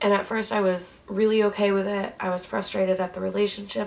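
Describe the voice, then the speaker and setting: A woman's monotone, flat delivery at a fairly quick pace, with noticeable background noise. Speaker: vlogger. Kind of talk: personal vlog. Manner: hesitant, many ums.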